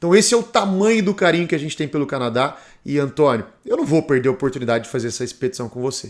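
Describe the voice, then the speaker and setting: Talking very fast, a man uses a fairly high pitch that swings very widely. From Brazil. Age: 40s. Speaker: motorcycle travel vlogger. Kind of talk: documentary narration.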